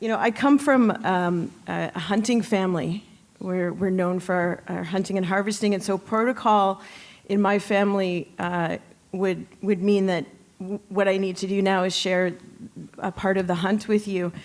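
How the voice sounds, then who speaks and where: Speaking with a Canadian accent, a woman uses a medium pitch and fairly even intonation at a moderate pace. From Canada. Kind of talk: acceptance speech. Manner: halting.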